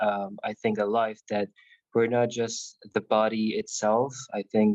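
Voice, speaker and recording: A man with a non-native accent talks at a fairly slow pace, his pitch medium. The sound is dry and close, with no echo. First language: not English. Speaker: meeting participant. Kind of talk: casual chat. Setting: video call. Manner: halting. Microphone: VPN connection, camera off.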